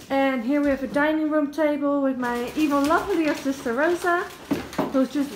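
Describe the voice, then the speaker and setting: High-pitched, fairly slow speech from a woman over noticeable background noise. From Netherlands. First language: Dutch. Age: 20s. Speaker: vlogger. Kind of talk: casual vlog. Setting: hotel room. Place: home room. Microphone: phone near.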